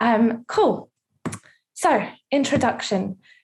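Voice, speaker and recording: A woman speaks with lively intonation. Her voice carries vocal fry. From Russia, raised in the UK from age five. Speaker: charity worker. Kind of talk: webinar presentation. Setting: online webinar. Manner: casual, with frequent fillers.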